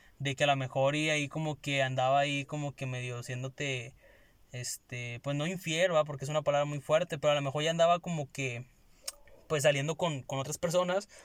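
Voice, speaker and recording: A man with an unremarkable speaking voice, fairly high in pitch, with fairly even intonation at a fairly quick pace, in a very clean recording with a silent background and a dry, close sound with no echo. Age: 20s. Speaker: podcast co-host, communication student. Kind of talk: casual chat.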